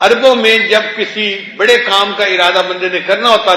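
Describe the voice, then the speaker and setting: Over noticeable background noise, a man with a high pitch uses a raised, projected voice and fairly even intonation. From Pakistan. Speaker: Islamic scholar and Sufi shaykh. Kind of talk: Islamic religious sermon (bayan). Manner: explanatory, storytelling preaching style.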